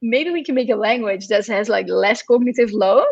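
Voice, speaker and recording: A woman with a Dutch accent, high-pitched and with lively intonation. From Netherlands. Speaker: computer science educator. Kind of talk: interview Q&A.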